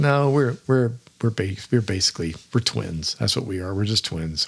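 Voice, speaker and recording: Lively intonation in a man's somewhat breathy voice, moving at a moderate speed. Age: 70s. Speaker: podcast host, fishing guide. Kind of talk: casual monologue.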